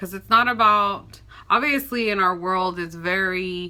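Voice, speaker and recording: A woman with an American accent, bright and sharp in tone, medium in pitch, fairly slow and fairly even in intonation. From Texas, Austin. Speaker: nurse and lifestyle vlogger. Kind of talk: casual vlog talk to camera.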